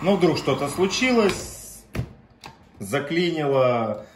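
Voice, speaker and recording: A man with lively intonation over light background noise. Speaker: pump seller or technician. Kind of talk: tutorial. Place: workshop. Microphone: phone near.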